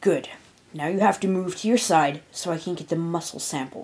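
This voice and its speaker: A woman puts on a raspy character voice at a fairly low pitch and a fairly quick pace. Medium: read story. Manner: clinical, matter-of-fact.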